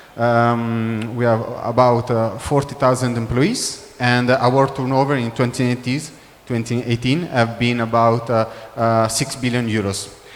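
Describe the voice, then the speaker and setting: A man at a fairly slow pace with fairly even intonation, amid noticeable background noise and audible room echo. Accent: Italian. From Italy. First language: Italian. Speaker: business development manager. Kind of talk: corporate presentation. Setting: trade show conference room. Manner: halting, many fillers.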